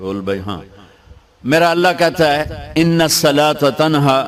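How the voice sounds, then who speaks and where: A man uses a normal speaking voice with lively intonation. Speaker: Islamic scholar, preacher. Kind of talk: religious sermon (bayan) to an audience.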